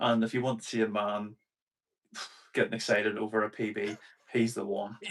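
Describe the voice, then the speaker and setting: A man speaks at a fairly quick pace in a fairly low voice. His intonation is flat and monotone. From Northern Ireland, rural near Belfast. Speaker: RC car racer. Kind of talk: casual chat. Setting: livestream video call.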